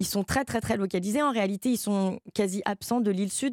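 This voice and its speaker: An ordinary speaking voice from a woman, at a moderate pace with ordinary pitch variation and a dry, close sound with no echo. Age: young. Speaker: novelist. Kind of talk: interview.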